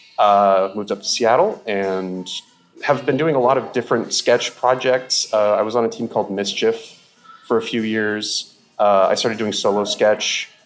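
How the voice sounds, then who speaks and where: Music plays in the background. The speech moves at a moderate pace with fairly even intonation. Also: man. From Alaska. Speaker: sketch comedian. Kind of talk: casual chat. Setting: public venue.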